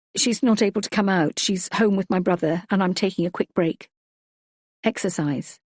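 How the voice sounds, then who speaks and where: Using a strained, put-on character voice at a medium pitch, a woman speaks at a moderate pace on a very clean recording with a silent background and a dry, close sound with no echo. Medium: read story. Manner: careful, restrained politeness.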